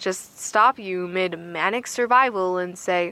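A woman uses a put-on character voice, bright and sharp in tone. She speaks slowly at a fairly low pitch. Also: ordinary pitch variation.

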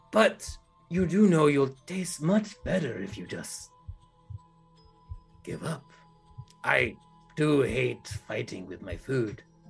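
Putting on a character voice, a man speaks at a fairly high pitch and a fairly slow pace, with long, frequent pauses and faint music in the background. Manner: menacing, taunting.

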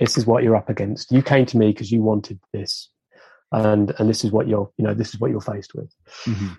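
A man speaks at a very fast pace in a fairly low pitch with fairly even intonation. His tone is dark and mellow and somewhat breathy. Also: dry, close sound with no echo. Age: 50s. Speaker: retrofit consultant. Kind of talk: casual chat.

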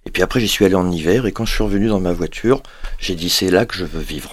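A man's very deep, low voice comes across on a very clean recording with a silent background. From Paris, France. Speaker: rehabilitation physician. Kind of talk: interview.

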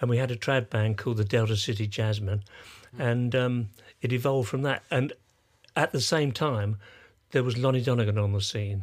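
On a very clean recording with a silent background, a man with an English accent and a somewhat breathy, medium-pitched voice speaks at a moderate pace with very even loudness. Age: 80s+. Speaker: sound engineer and musician. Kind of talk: casual interview. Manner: halting.

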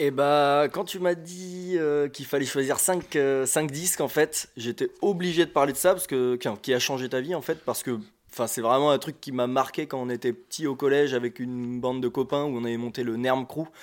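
An unremarkable speaking voice at a moderate pace in a very clean recording with a silent background. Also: man, fairly high pitch for a man. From France, Île d'Oléron. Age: 20s. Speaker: bassist and skate instructor. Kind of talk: casual chat. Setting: shared flat.

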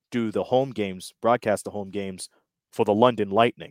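A man with an ordinary speaking voice, fairly low in pitch, talks at a moderate pace with fairly even intonation, in a very clean, silent recording that is dry and close with no echo. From Windsor, Ontario, Canada. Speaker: sports broadcaster, play-by-play announcer. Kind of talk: casual interview.

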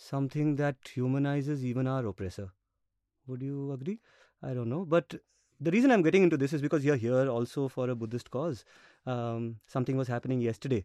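A man talks at a very fast pace and medium pitch, with ordinary pitch variation. His tone is dark and mellow, the sound dry and close with no echo against a quiet background. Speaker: interviewer and podcast host. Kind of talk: interview conversation.

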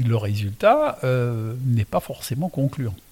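A man with an Alsatian accent speaks at a very slow pace and medium pitch. Noticeable background noise is present. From Alsace. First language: Alsatian (speaking French). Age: 60s. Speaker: winemaker. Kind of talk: casual interview. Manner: calm.

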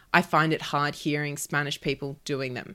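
Speaking in an Australian accent, a woman keeps a moderate pace. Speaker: journalist and podcast co-host. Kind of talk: news discussion podcast; casual chat.

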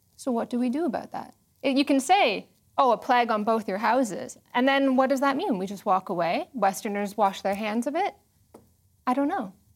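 A woman with a high pitch and lively intonation speaks at a fairly quick pace, broken by long, frequent pauses. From Canada. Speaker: sociologist. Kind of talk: panel discussion.

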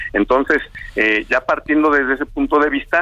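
Over music in the background, a man talks at a fairly quick pace, the sound dry and close with no echo. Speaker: optometry society president. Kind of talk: phone interview. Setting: phone call.

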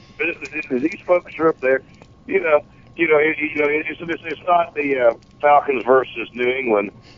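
Over noticeable background noise, a man talks at a moderate pace with fairly high pitch and ordinary pitch variation. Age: 40s. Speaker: wrestling fan. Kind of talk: casual chat. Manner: animated.

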